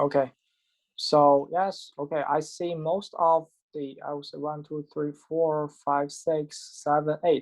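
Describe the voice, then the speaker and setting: A man speaks very slowly with a non-native accent, his pitch fairly high. His intonation is monotone and flat. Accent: foreign. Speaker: professor. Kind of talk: lecture. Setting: video call. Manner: halting.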